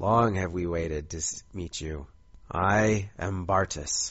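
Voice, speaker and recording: A man puts on a character voice with a very deep, low pitch. It comes out raspy at a fairly slow pace. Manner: slow, ominous.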